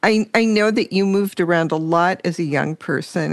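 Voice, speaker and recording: An ordinary speaking voice from a woman, fairly low in pitch, with ordinary pitch variation and a moderate pace. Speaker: radio host. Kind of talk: radio interview and narration.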